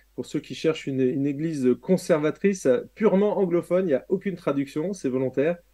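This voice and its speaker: This man speaks at a fairly quick pace with ordinary pitch variation. His fairly high voice has a dark, mellow tone. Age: 50s. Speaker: pastor and author. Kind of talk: interview.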